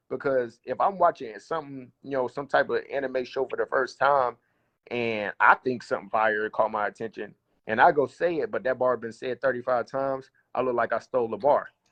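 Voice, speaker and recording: A man with a strong Southern US accent, medium pitch and ordinary pitch variation. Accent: thick Southern US. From US South. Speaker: battle rapper. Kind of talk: casual interview.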